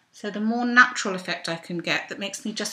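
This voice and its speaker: Fairly high-pitched speech from a woman at a fairly quick pace, ordinary pitch variation, noticeable background noise behind it. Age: 50s. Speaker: belly dancer; makeup vlogger. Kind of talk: makeup tutorial talk to camera. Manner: casual, chatty. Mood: relaxed, self-deprecating humour. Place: home room. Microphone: webcam.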